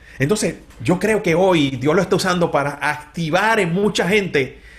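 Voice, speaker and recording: Animated in tone, a man speaks fairly slowly in a high pitch with lively intonation. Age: 50s. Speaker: pastor. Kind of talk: interview conversation.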